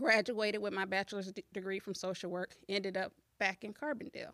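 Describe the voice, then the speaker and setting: An unremarkable speaking voice is heard with an American accent. Its intonation is fairly even and its pace fairly quick. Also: woman. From US Midwest, southern Illinois. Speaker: school board candidate and social worker. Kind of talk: casual interview.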